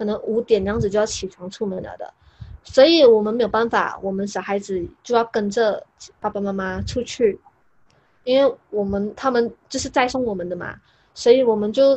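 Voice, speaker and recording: The speaker keeps a moderate pace and fairly even intonation, with big swings in loudness. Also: woman. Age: 20s. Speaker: YouTuber. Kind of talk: casual interview chat. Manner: talkative.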